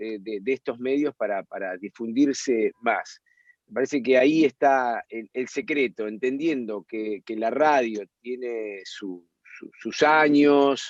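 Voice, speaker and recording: In a dry, close recording with no echo, a man with a medium pitch speaks very slowly with ordinary pitch variation. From Argentina. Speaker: radio and TV host. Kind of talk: interview answer.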